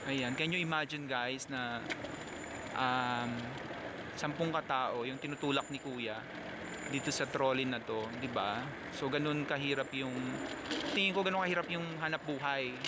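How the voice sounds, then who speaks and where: A man talks at a moderate pace with ordinary pitch variation and long, frequent pauses, in a dry sound with no echo and loud background noise. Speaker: passenger vlogger. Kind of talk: casual vlog chat. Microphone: phone near.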